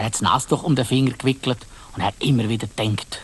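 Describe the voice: A man talks at a fast pace. His pitch is medium, with fairly even intonation.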